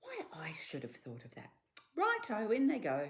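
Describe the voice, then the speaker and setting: A man puts on a sing-song character voice at a high pitch, speaking at a moderate pace with big swings in loudness. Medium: read story. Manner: gleeful, sing-song.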